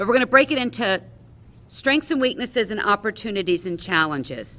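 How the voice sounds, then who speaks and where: A woman's fairly high voice, bright and sharp, with very wide pitch swings and vocal fry, on a very clean recording against a silent background. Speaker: meeting facilitator. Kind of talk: facilitated business meeting.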